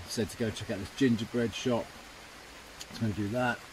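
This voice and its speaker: Male voice with fairly even intonation, a dry sound with no echo and noticeable background noise. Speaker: travel vlogger. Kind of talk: casual vlog chat. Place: tent. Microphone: phone near.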